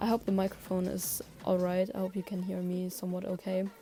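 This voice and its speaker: A woman with a non-native accent. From outside Germany, small-town. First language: not English. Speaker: digital artist, vlogger. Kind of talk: casual monologue voice-over. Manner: halting, many fillers. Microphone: cable headphones mic, bad quality.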